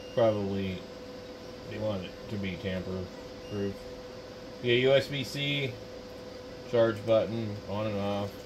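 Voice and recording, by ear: A man at a fairly low pitch, slow and fairly even in intonation, with long, frequent pauses over clear background noise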